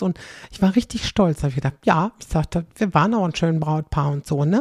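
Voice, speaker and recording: This woman's fairly low, dark and mellow voice is somewhat breathy, moving at a fairly quick pace with lively intonation in a dry, close sound with no echo. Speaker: podcaster. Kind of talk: casual monologue. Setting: home kitchen, late at night. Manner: chatty, lots of fillers.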